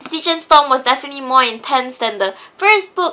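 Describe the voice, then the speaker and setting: Raising and projecting her voice, a woman speaks with lively intonation. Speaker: book reviewer. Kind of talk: casual book review to camera.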